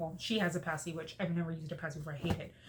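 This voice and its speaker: A somewhat breathy voice is heard. It belongs to a woman. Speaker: lifestyle vlogger. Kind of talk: casual chat. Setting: at home folding laundry. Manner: subdued, sad-sounding.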